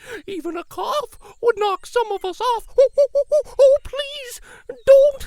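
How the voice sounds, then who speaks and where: A put-on character voice at an extremely high pitch, delivered at a fairly slow pace. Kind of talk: children's picture book read-aloud. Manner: anxious, fretful.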